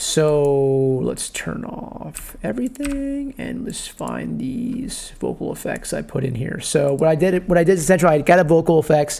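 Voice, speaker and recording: A man's animated voice moves at a moderate pace, with noticeable background noise behind it. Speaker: music producer tutorial youtuber. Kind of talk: tutorial. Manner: casual, animated.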